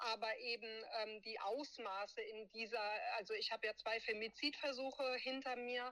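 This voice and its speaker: This woman has a high-pitched voice with a bright, sharp tone and ordinary pitch variation. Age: 30s. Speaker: abuse survivor and advocate. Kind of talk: interview testimony.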